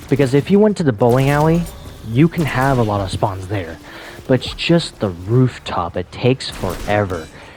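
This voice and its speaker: The speaker is soft-spoken and keeps a moderate pace. Noticeable background noise sits behind the voice. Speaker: gaming video creator. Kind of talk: casual monologue. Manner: quiet, soft-spoken; halting. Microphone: voice may be cutting out.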